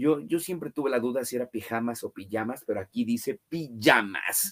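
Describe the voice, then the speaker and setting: Recorded dry and close with no echo, a man has a plain, everyday voice, a medium pitch, lively intonation and a moderate pace. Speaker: book channel host, interviewer. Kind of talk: interview.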